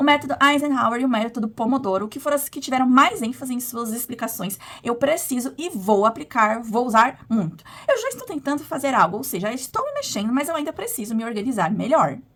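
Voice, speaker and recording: Noticeable background noise sits behind a woman's high voice. She talks fairly quickly with lively intonation and hardly any pauses. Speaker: postgraduate student. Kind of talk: video presentation of a course assignment. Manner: partly read from a script.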